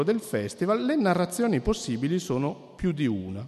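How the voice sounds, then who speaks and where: At a moderate pace, a man speaks with a fairly high pitch. His pitch swings very widely. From Piedmont, Cuneo. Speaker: anthropologist. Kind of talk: lecture. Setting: stage with audience. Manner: halting.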